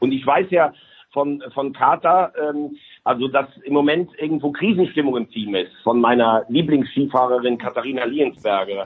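This is a plain, everyday voice from a man with a fairly high pitch. He talks at a moderate pace with ordinary pitch variation. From Rhineland, Germany.

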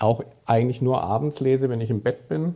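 Speaking with a Swabian accent, a man has a dark, mellow tone, ordinary pitch variation and a moderate pace. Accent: southern German (Swabian). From Stuttgart, southwest Germany. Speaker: sports journalist. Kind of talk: casual chat.

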